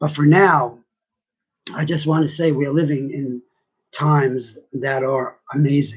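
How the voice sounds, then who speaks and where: A man with a fairly high pitch, somewhat breathy, at a fairly slow pace with long, frequent pauses and fairly even intonation. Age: 60s. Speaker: vlogger sharing personal views. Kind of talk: personal monologue.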